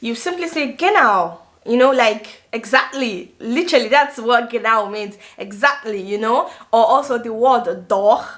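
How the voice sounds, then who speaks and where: Noticeable background noise sits behind a woman with a Nigerian accent. She speaks at a fairly slow pace and fairly high pitch with lively intonation. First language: Igbo. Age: 20s. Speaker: vlogger and nursing student. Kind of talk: casual vlog talk to camera.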